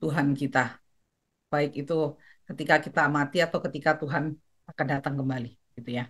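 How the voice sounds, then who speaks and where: A woman talks at a very fast pace in a very deep, low pitch with fairly even intonation. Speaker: course moderator. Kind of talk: closing remarks. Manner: soft-spoken.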